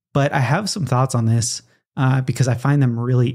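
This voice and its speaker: With fairly even intonation, a man talks in a voice that is somewhat breathy. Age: 30s. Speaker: podcast host. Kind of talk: solo podcast monologue. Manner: casual with frequent fillers.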